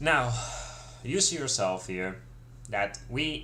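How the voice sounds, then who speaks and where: A man speaks with a bright, sharp tone. Audible room echo surrounds his voice. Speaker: crypto market analyst and trading teacher. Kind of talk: live stream market analysis. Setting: live stream. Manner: halting, many fillers.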